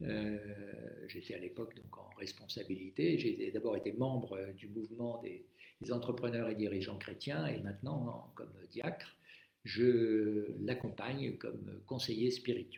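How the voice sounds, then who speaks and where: A man speaks at a fairly slow pace, his loudness swinging widely, with audible room echo. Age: 70s. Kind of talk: live-stream talk on faith. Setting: Facebook live stream. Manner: hesitant, many fillers.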